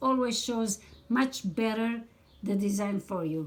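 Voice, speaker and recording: A woman at a very slow pace. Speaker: needle lace crafter and tutorial maker. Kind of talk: tutorial.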